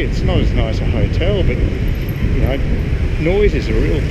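A man over loud background noise. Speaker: travel vlogger. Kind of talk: casual vlog chat. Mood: mildly frustrated, musing. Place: street. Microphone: phone near.

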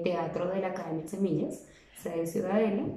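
The intonation is monotone and flat. Audible room echo sits over light background noise. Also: woman. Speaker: theater teacher. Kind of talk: instructional talk to parents. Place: home room. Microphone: phone near.

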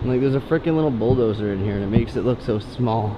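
Noticeable background noise runs throughout. Over it, a man speaks fairly quickly. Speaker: urban explorer vlogger. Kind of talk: casual vlog chat. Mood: amazed, excited. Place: factory. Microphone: phone near.

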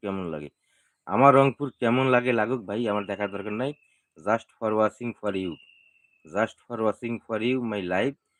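Dry, close sound with no echo and ordinary pitch variation. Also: man, fairly low pitch for a man. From Bangladesh, Rangpur. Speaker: social media monetization YouTuber. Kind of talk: live stream talk to viewers.

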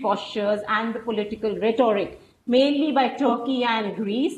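A woman speaks fairly slowly at a high pitch with fairly even intonation. Light background noise and audible room echo are present. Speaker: researcher; webinar panelist. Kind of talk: panel discussion. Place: home room. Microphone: earbuds.

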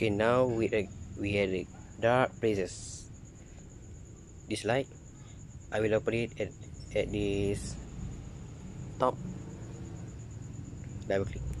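With noticeable background noise, the speaker goes at a fairly slow pace and leaves long, frequent pauses. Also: man, fairly low pitch for a man, ordinary pitch variation, dry sound with no echo. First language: non-native English speaker. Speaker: flashlight reviewer. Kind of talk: product review narration outdoors at night. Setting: outdoors. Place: garden.

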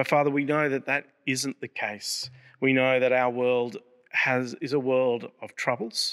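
Over a quiet background, a man with an Australian accent speaks at a fairly slow pace, his pitch medium and his intonation fairly even. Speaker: prayer leader. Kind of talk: fervent prayer. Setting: church service video. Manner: earnest; solemn and reverent. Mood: calm, earnest, reverent. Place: church. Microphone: podium.

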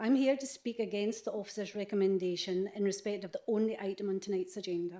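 A woman speaks fairly quickly in a Scottish accent, her medium-pitched voice dark and mellow in tone, with fairly even intonation. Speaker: member of the public making a deputation. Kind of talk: prepared statement at council meeting. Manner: formal.

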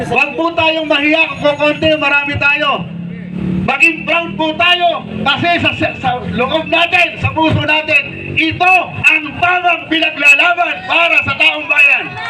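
Over noticeable background noise, a man with an extremely high pitch speaks in a raised, projected voice at a fairly slow pace with ordinary pitch variation. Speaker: senatorial candidate. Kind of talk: rally speech. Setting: outdoor rally with crowd. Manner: animated.

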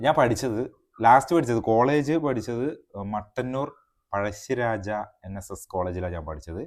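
Heard on a very clean recording with a silent background, a man with an unremarkable speaking voice and a medium pitch uses lively intonation and big swings in loudness. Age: 30s. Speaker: YouTube vlogger. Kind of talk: casual chat. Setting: outdoors.

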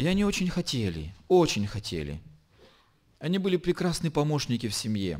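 Against a quiet background, a man with a fairly high voice swings his pitch very widely and leaves long, frequent pauses. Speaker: pastor. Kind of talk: sermon. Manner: slow. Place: church. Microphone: podium.

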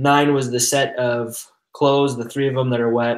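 Audible room echo and a quiet background frame a man speaking at a fairly slow pace. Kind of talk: group discussion explanation. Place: home room.

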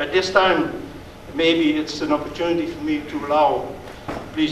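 Amid light background noise and audible room echo, a man speaks at a moderate pace. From Netherlands. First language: Dutch. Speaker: diplomat. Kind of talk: speech. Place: hall. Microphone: podium.

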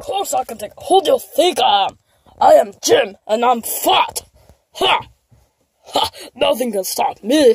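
A put-on character voice at high pitch swings very widely in pitch. It moves at a fairly slow pace with long, frequent pauses. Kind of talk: toy skit character dialogue. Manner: cocky, boastful.

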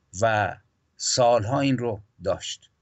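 A man speaks against a quiet background. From Iran. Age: 60s. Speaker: poet and historian; poet. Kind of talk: political history discussion. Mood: serious, reflective, aggrieved. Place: home room. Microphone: video call.

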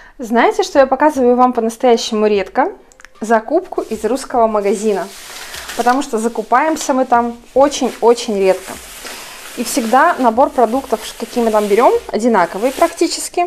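With noticeable background noise behind her, a woman speaks at a high pitch and a moderate pace, using lively intonation and long, frequent pauses. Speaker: vlogger. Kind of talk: casual vlog narration.

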